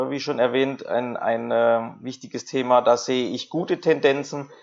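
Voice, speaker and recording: Medium in pitch, a man's voice moves at a moderate pace with ordinary pitch variation. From Karlsruhe, Germany. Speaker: hotel manager. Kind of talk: interview. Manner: hesitant, frequent repetitions.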